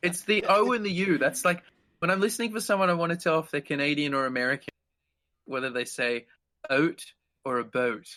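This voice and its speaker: With an Australian accent, a man speaks in a high pitch and a bright, sharp tone, his intonation lively. His pace is fairly quick, broken by long, frequent pauses. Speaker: guitarist. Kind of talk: casual chat.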